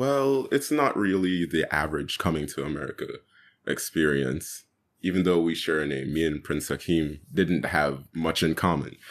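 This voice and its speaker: A man's very deep, low voice with vocal fry and lively intonation, at a moderate pace, in a very clean recording with a silent background. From Jamaica, moved to New York at sixteen. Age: 20s. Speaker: youth climate activist. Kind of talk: casual interview.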